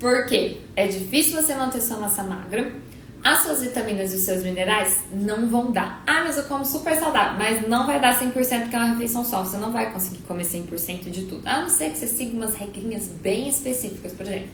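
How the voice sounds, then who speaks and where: A woman's fairly high voice with lively intonation and a fairly quick pace, hardly any pauses, audible room echo and noticeable background noise. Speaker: nutritionist. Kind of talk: live stream Q&A. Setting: live stream. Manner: fast.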